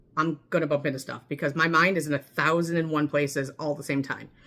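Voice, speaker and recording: The voice has a bright, sharp tone and moves at a very fast pace. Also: woman. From US Midwest. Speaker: mental health vlogger. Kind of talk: personal vlog monologue. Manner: chatty with many fillers.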